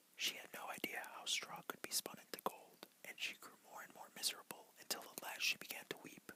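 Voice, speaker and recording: The voice is whispering, with hardly any pauses. Noticeable background noise is present. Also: man. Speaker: ASMR creator. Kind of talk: bedtime fairy tale reading. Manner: whispered.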